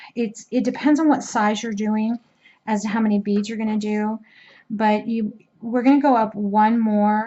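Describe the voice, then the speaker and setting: Her delivery is flat and monotone. The woman's voice is somewhat breathy. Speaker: crochet instructor. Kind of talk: tutorial. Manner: slow; casual, with hesitations.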